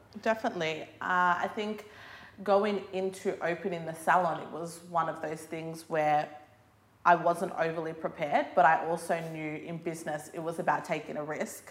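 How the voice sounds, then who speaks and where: A woman with a fairly low pitch and an Australian accent speaks at a moderate pace with fairly even intonation but big swings in loudness. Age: 20s. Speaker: hair salon owner. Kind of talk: casual interview. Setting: hair salon.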